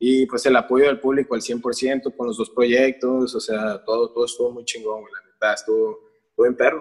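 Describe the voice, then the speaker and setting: Monotone, flat intonation runs through this man's speech. His pitch is medium and his pace moderate. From Mexico, Tijuana. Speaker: musician. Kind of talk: casual chat.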